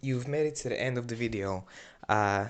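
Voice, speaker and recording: Over a quiet background, a man speaks with a non-native accent. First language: not English. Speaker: hobbyist YouTuber. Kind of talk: video narration. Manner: halting, many fillers.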